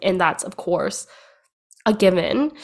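At a moderate pace, a woman with an unremarkable speaking voice and medium pitch is heard in a very clean recording over a silent background. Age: 20s. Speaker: podcast host and business coach. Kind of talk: personal solo monologue. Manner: casual with fillers.

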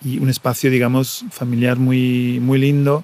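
Delivery comes at a fairly slow pace. Intonation stays monotone and flat throughout. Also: man. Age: 40s. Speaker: podcaster. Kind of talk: personal audio diary monologue. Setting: airport waiting area. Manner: halting, many fillers and repetitions.

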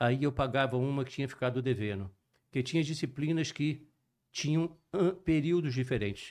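A man with fairly high pitch and ordinary pitch variation speaks at a moderate pace with very even loudness and long, frequent pauses in a very clean recording with a silent background. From Brazil, Juiz de Fora (Minas Gerais) and Rio de Janeiro. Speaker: cardiologist and sports medicine physician. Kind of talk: podcast interview.

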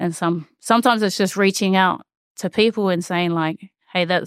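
Speaking at a moderate pace with fairly even intonation, a woman with a New Zealand accent sounds dry and close, with no echo. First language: Māori. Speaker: rugby player. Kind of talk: casual chat.

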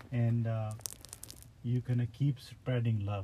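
Speaking at a very slow pace, a man with a medium pitch is heard over noticeable background noise. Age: 40s. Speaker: driver. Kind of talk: casual chat. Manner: halting.

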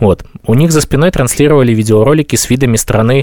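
The man's voice has a dark, mellow tone, and his pitch varies in an ordinary way. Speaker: podcast host. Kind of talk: casual chat.

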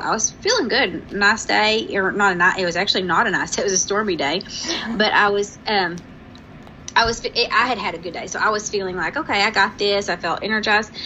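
Noticeable background noise runs under a woman's voice. She has a medium pitch and ordinary pitch variation. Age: 40s. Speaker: podcast co-host. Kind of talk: casual chat.

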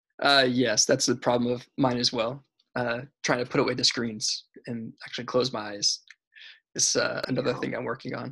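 A man speaks at a moderate pace with an American accent. His tone is bright and sharp, and his intonation stays flat and monotone. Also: medium pitch for a man. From Florida. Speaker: podcast host. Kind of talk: casual interview. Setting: video call. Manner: halting, many fillers.

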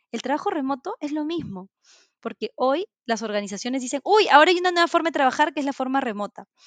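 Speaking very fast, a woman with a high voice makes very wide pitch swings in a dry, close sound with no echo. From Peru. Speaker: corporate culture manager and remote work advocate. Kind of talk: interview.

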